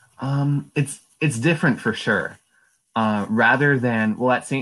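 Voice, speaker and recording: With an Upper Midwest accent, a man speaks with ordinary pitch variation. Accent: Upper Midwest American. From Wisconsin, De Pere. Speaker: college student. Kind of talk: interview.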